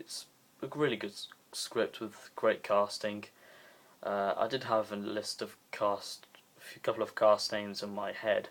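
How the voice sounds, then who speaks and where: Soft-spoken delivery at a fairly slow pace, with long, frequent pauses and big swings in loudness, in a very clean recording with a silent background. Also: man. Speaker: video reviewer. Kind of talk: casual review monologue. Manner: hesitant, many fillers.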